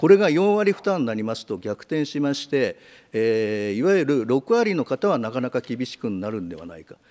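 A man's pitch swings very widely as he talks. The background is quiet. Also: moderate pace, big swings in loudness. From Japan. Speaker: politician. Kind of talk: parliamentary questioning. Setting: committee room. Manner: hesitant, many filler words. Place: meeting room. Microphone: podium.

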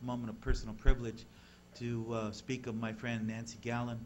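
Light background noise sits behind a man's voice. He talks at a moderate pace with monotone, flat intonation. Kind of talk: formal remarks at public meeting. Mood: somber, memorial tribute. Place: meeting room. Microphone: podium.

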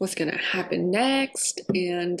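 Light background noise accompanies a woman speaking at a fairly slow pace. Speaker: vlogger. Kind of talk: casual vlog chat. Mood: reflective, candid. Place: kitchen. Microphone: camera far.

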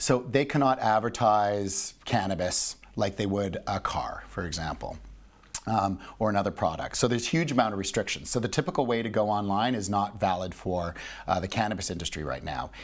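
A man with a Canadian accent has a normal speaking voice. He talks at a fairly quick pace in a fairly low pitch with ordinary pitch variation. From Canada. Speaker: business executive and investor; guest. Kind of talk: interview. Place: studio. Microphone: lapel.

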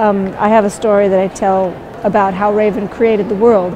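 Over noticeable background noise, a woman speaks in a warm tone. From Southeast Alaska, Tlingit. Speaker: storyteller and weaver. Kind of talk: interview about storytelling mixed with a dramatic story performance. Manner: animated, dramatic storytelling delivery with character voices; conversational and warm in interview. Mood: warm, thoughtful. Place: hall.

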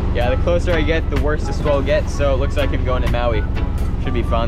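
Over loud background music, a woman talks at a very fast pace with a dry sound and no echo. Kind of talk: casual vlog chat. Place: boat. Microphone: phone near.

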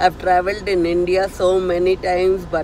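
A woman speaks at a fairly slow pace. There is light background noise, and the sound is dry with no echo. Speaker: vlogger. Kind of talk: casual vlog chat. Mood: nervous but cheerful. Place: car. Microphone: phone near.

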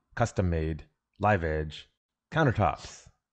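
The background is quiet as a man talks. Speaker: co-host. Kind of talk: casual commentary over photos. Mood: playful, joking. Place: home room. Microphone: studio mic.

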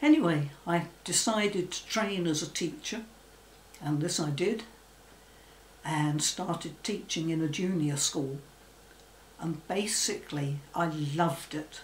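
A woman's fairly low voice with an English accent, very slow and with ordinary pitch variation, under audible room echo and light background noise. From England. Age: 80s+. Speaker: former phobia sufferer. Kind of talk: testimony. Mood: calm, reflective. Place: home room.

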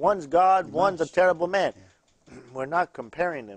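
A man talks at a very fast pace in a fairly high voice. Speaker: pastor and TV host. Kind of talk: call-in religious TV show. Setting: studio.

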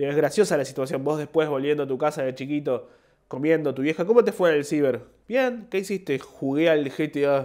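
A man with a Rioplatense accent talks at a fairly quick pace, his fairly high pitch showing ordinary variation. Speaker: comedian. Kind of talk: casual monologue. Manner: halting.

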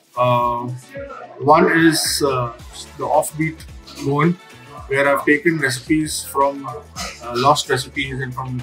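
Clear music plays in the background as a man talks at a fairly slow pace. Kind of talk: interview answer. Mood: relaxed, friendly. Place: cafe.

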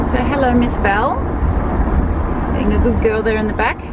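Against loud background noise, a woman speaks in a dry sound with no echo. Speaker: vlogger. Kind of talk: casual vlog chat. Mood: cheerful, laughing. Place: car. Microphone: phone near.

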